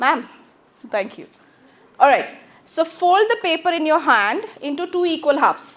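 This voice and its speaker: A woman's extremely high-pitched voice in an Indian accent, lively in intonation, with long, frequent pauses. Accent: Indian English, Telugu. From South India, Telugu-speaking. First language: Telugu. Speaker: English teacher. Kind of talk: classroom lecture. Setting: classroom with microphone. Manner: fast.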